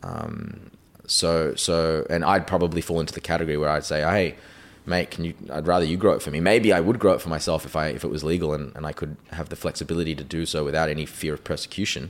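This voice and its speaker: This man talks at a very fast pace with an Australian accent. His voice is very deep and low. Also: ordinary pitch variation. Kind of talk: interview.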